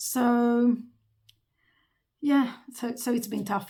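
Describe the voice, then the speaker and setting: Her voice sits fairly high in pitch for a woman and carries vocal fry. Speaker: vlogger. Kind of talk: casual monologue.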